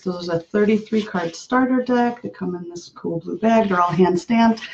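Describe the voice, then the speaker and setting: A soft-spoken woman talks at a moderate pace. Her pitch sits in the medium range. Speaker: intuitive painter and oracle card artist. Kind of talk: live stream demonstration. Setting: live video stream. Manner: projecting a little louder than usual.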